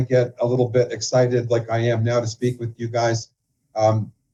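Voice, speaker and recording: A man speaks at a moderate pace. His tone is dark and mellow, somewhat breathy. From Canada. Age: 60s. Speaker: financial professional and author. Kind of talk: interview.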